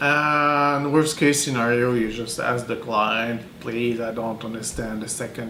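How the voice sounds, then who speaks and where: Man with a Quebec accent, medium pitch, ordinary pitch variation and a fairly slow pace, with audible room echo and noticeable background noise. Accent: French Canadian accent in English. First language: French. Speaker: translator. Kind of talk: interview. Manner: halting, many fillers.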